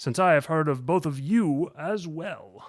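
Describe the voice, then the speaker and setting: This man uses a put-on character voice with a fairly high pitch. He talks at a fairly slow pace with ordinary pitch variation. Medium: read story. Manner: courteous, measured.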